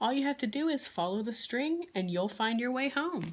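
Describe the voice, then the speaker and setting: A put-on character voice sounds female and high-pitched. It moves at a moderate pace. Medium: read story. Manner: calm, reassuring.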